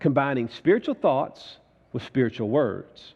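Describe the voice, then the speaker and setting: A man with an ordinary speaking voice talks at a fairly slow pace in a fairly high pitch. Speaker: preacher. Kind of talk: church sermon, live preaching to congregation.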